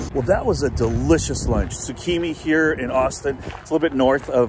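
Over noticeable background noise, a man speaks with ordinary pitch variation in a dry sound with no echo. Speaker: vlogger. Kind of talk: casual vlog chat. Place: waterside. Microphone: phone near.

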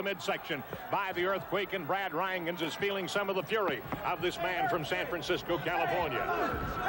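A man's voice in a dry sound with no echo, over noticeable background noise. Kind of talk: live wrestling commentary. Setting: arena broadcast. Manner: animated, rapid play-by-play calling.

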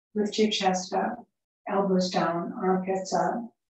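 The speech comes at a very slow pace with monotone, flat intonation, light background noise and audible room echo. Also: woman. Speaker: yoga teacher. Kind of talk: guided relaxation in shavasana; guided yoga class instruction. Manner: soft, soothing, slow. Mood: calm, soothing. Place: home room. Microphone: camera far.

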